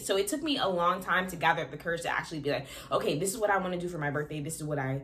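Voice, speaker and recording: Through audible room echo, a woman's animated tone comes across at a fairly low pitch with ordinary pitch variation. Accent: American. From Florida, US. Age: 20s. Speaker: vlogger. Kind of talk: casual vlog talk to camera. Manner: fast.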